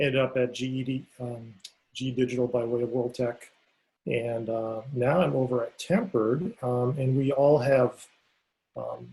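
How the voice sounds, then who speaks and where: Medium in pitch and somewhat breathy, the man's dark, mellow tone moves with fairly even intonation. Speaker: technology vendor presenter. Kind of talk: online conference presentation. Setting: video call. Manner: fast.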